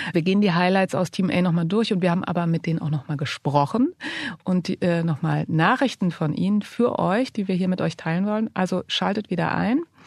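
A woman's fairly low, somewhat breathy voice at a fairly quick pace, with ordinary pitch variation and very even loudness, dry and close with no echo against a quiet background. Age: 40s. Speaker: podcast co-host, magazine editor-in-chief. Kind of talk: casual chat.

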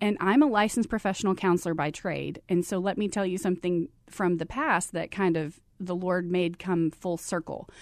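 At a moderate pace and medium pitch, a woman with an American accent speaks with ordinary pitch variation and hardly any pauses over a quiet background. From Texas, Abilene. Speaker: nonprofit executive and counselor. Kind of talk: interview.

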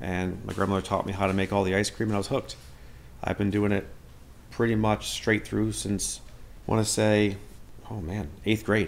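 A man's fairly low, flat monotone with vocal fry, delivered at a very fast pace. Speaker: dairy farm worker. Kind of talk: interview.

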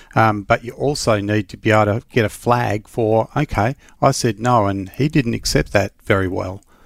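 A man with an Australian accent talks at a moderate pace with hardly any pauses, fairly low pitch and ordinary pitch variation, in a very clean recording with a silent background and a dry, close sound with no echo. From Western Australia. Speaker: safety investigator and consultant. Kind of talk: casual chat.

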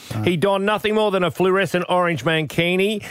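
This man has a high-pitched voice with ordinary pitch variation. He speaks in an Australian accent. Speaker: radio host. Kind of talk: casual chat.

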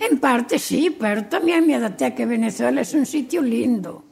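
A woman speaks at a moderate pace with a fairly high pitch and very wide pitch swings. Music plays in the background. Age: 80s+. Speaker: elderly villager. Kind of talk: interview.

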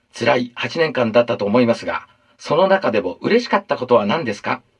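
A man puts on a character voice with a husky, rough edge at a medium pitch. He talks at a fairly quick pace with big pitch swings.

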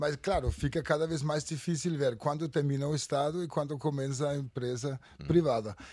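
A man with a Danish accent speaks at a moderate pace in a fairly high pitch. His tone is dark and mellow, and the recording is very clean with a silent background. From Denmark. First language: Danish (speaking Portuguese). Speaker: futurist. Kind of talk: panel discussion. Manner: halting.

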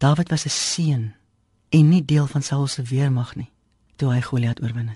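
A woman's very deep, low voice, somewhat breathy, dark and mellow in tone, with fairly even intonation. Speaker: devotional speaker. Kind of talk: radio devotional.

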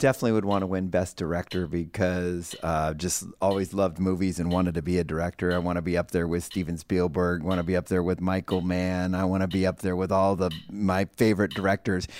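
The speech runs at a very fast pace with hardly any pauses. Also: man, very deep, low pitch for a man, very even loudness, very clean recording, silent background. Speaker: podcast co-host. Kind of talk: podcast panel discussion. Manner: casual, animated.

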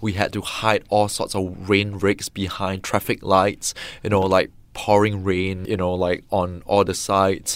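The speaker talks at a fairly slow pace in a flat monotone. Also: man, fairly low pitch for a man, very clean recording, silent background. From Singapore. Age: 30s. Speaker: film director. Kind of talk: interview.

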